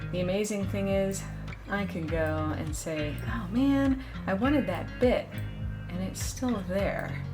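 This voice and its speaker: Over music in the background, a woman with an upbeat tone talks at a very slow pace with long, frequent pauses. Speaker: voice actor. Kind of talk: casual talk to camera.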